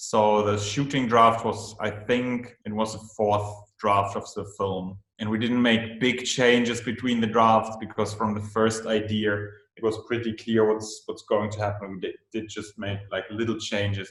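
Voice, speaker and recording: A man with a German accent speaks at a fairly slow pace in a monotone, flat intonation. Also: fairly low pitch for a man. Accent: German-speaking accent in English. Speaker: film director. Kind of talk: interview. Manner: halting, many fillers and repeats.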